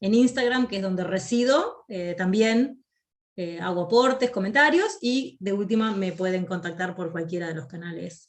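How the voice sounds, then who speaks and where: A woman speaks at a moderate pace and a medium pitch, with lively intonation. Her voice is somewhat breathy. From Argentina, Río de la Plata region (provincial). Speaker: academic writing instructor. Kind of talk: lecture. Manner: clear; frequent hesitation fillers.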